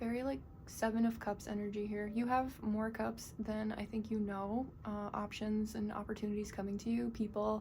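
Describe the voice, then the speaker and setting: Flat, monotone speech in an American accent with hardly any pauses, over noticeable background noise. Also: woman, fairly high pitch for a woman. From US Northeast. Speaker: tarot reader. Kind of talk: tarot reading to camera. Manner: fast.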